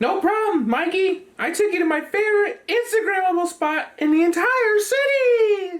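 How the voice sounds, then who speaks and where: A put-on character voice squeaks at an extremely high pitch. It moves at a moderate pace with hardly any pauses. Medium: comedy sketch. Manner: upbeat, eager to please.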